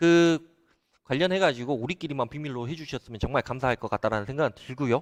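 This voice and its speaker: A man talks at a very fast pace in a Jeolla accent, fairly high in pitch with ordinary pitch variation. The sound is dry and close, with no echo. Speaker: solar company CEO. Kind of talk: live stream talk to viewers. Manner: hesitant, filler-heavy.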